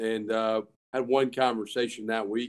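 A man speaks with a Southern US accent. His intonation is monotone and flat. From US South. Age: 30s. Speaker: college football head coach. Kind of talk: casual chat.

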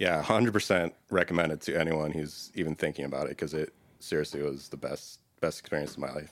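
Talking at a very fast pace, a man with an American accent uses a very deep, low pitch and fairly even intonation. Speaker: data consultant. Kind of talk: casual interview. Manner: laid back.

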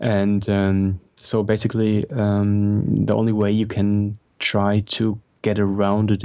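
A dark, mellow voice with monotone, flat intonation comes through on a very clean recording with a silent background. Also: man. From Germany. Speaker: photographer. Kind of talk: casual interview chat.

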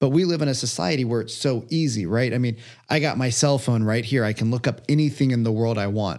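Against a quiet background, the talk runs very fast with ordinary pitch variation. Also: man, medium pitch for a man. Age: 30s. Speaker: entrepreneur and coach. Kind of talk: casual chat.

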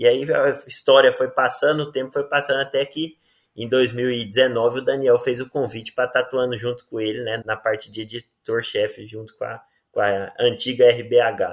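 A man talks at a moderate pace in a normal speaking voice of medium pitch. His intonation stays fairly even. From Rio Verde, Goiás, Brazil. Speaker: agronomy professor and journal editor. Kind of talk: interview.

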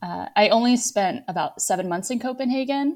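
In an American accent, a woman talks at a fairly quick pace with lively intonation and a dark, mellow tone, recorded very cleanly against a silent background. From Virginia, US. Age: 30s. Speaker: financial planner. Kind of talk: interview.

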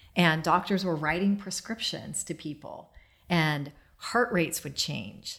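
On a very clean recording with a silent background, a woman with an American accent talks at a moderate pace in a fairly low pitch with ordinary pitch variation. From US Midwest (Dayton, Ohio). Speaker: holistic healer and business owner. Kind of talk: casual interview. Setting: at a home, garden.

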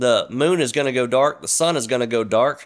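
A man talks in a Mississippi accent at medium pitch. His pace is fairly quick, and the recording is very clean with a silent background. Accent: US Southern (Mississippi). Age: 40s. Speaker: podcast host. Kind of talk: casual monologue; religious exhortation. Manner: animated.

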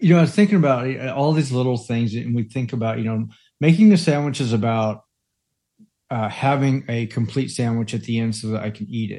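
A man talks at a fairly quick pace in a medium pitch, with a dark, mellow tone. His pitch varies in an ordinary way against a quiet background. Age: 50s. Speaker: parenting podcast co-host and life coach. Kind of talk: casual chat.

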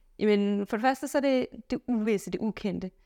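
A woman's fairly high voice at a moderate pace, with ordinary pitch variation, in a very clean recording with a silent background and a dry, close sound with no echo. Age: 30s. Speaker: physicist and solo traveller. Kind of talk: interview.

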